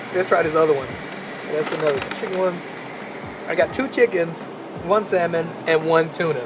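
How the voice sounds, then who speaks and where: Against noticeable background noise, a man speaks in an animated tone at a moderate pace. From United States. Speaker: vlogger. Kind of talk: vlog narration. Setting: train station and train. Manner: casual, animated; quiet.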